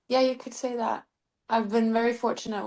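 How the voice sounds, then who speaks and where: This woman talks in a Norwegian accent. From Norway. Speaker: singer-songwriter. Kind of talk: interview.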